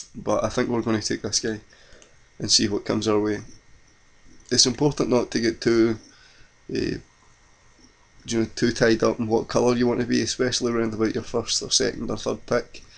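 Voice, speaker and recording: A man's medium-pitched voice with a Scottish accent and vocal fry, monotone and flat, at a fairly quick pace with long, frequent pauses. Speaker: card game video creator. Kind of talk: gameplay commentary.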